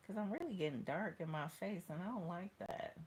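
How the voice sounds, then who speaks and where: The tone is animated, with vocal fry, ordinary pitch variation and a moderate pace. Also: woman. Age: 40s. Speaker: tarot reader. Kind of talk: casual chat.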